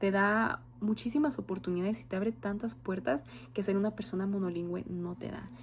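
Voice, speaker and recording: A woman speaks in a dark, mellow tone that is somewhat breathy. Her pace is moderate. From Mexico. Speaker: student, future bilingual teacher. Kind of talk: oral class presentation. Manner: some fillers and hesitations.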